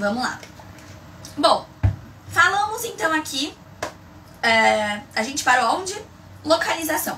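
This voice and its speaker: A woman's raised, projected, animated voice, high in pitch with very wide swings, at a fairly slow pace with long, frequent pauses, amid audible room echo and noticeable background noise. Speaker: migraine educator, live streamer. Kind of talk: live stream tutorial. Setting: live stream.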